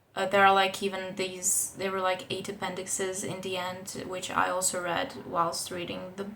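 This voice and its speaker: With a non-native accent, a woman at medium pitch talks at a moderate pace with hardly any pauses, her bright, sharp tone held in a monotone, flat intonation amid audible room echo. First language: not English. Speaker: book vlogger. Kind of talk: casual book review vlog. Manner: casual, with fillers and restarts.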